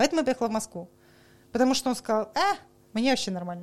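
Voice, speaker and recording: A woman's animated, high-pitched voice with very wide pitch swings. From Saint Petersburg, Russia. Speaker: coffee professional. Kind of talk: casual chat. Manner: animated, talkative.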